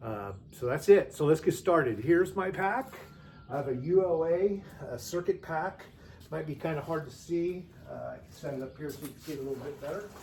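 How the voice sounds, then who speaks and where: Using a normal speaking voice, a man talks at a fairly quick pace with a fairly high pitch. His intonation is lively, and his loudness swings widely. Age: 60s. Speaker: hiker and vlogger. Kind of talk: gear tutorial. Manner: casual with frequent fillers.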